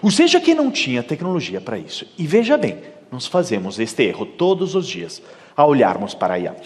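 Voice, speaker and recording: This man speaks with a high pitch and an Italian accent. His pace is moderate, with noticeable background noise behind him. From Italy. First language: Italian (speaking Portuguese). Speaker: keynote speaker. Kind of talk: conference talk.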